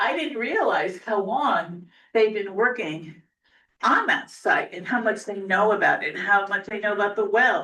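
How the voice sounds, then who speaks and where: Bright and sharp in tone, a woman's voice sits at a fairly high pitch. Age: 70s. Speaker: resident speaking at public hearing. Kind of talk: public comment.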